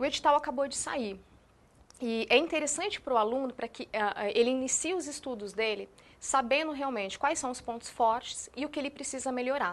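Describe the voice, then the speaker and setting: A woman with a São Paulo interior accent speaks at a fairly quick pace, her high voice lively in intonation. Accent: caipira São Paulo interior. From interior of São Paulo state, Brazil. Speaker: education coordinator. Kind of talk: TV interview.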